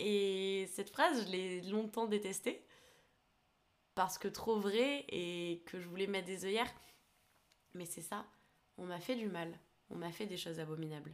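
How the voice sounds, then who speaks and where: Speaking at a fairly slow pace with long, frequent pauses, a woman of medium pitch shows ordinary pitch variation and big swings in loudness. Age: 20s. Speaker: podcast host. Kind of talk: personal testimony monologue. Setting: alone recording at a computer. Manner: hesitant.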